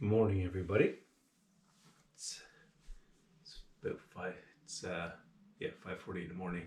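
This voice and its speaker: A man talks at a fairly quick pace with long, frequent pauses. His loudness swings widely. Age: 60s. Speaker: outdoor vlogger. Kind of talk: casual vlog talk. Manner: hesitant, many fillers.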